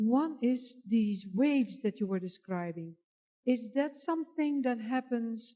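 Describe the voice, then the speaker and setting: At a moderate pace, a woman speaks in a high pitch with a dark, mellow tone. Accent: non-native. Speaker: audience member asking questions. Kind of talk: audience question. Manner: halting.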